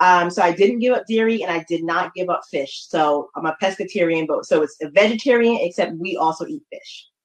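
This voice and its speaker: A plain, everyday voice from a woman with an American accent, medium in pitch with ordinary pitch variation, at a fairly quick pace with hardly any pauses. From New Haven, Connecticut. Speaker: marketing consultant. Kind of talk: interview.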